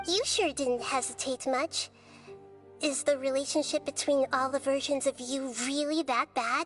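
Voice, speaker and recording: Over clear music in the background, a female-sounding put-on character voice speaks at a moderate pace with a high pitch. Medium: game stream. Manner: calm, measured, thoughtful.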